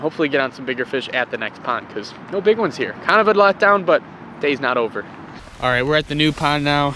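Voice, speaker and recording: The voice moves at a very fast pace with lively intonation. Noticeable background noise runs underneath. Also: man, fairly high pitch for a man. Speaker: fishing vlogger. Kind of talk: outdoor vlog narration. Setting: outdoors on a frozen pond. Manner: animated.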